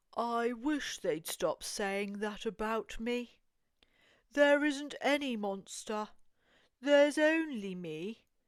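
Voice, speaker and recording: On a very clean recording with a silent background, a woman puts on a character voice at a fairly high pitch and speaks at a very slow pace. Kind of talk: children's picture book read-aloud.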